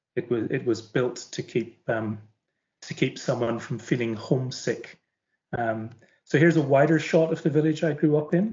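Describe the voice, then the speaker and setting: A man with a fairly high pitch and ordinary pitch variation speaks at a moderate pace, sounding somewhat breathy. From Northern Ireland, County Antrim coast. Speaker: publisher's teacher trainer, former teacher. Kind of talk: online webinar talk. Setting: video call from home living room. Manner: hesitant, many fillers and repetitions.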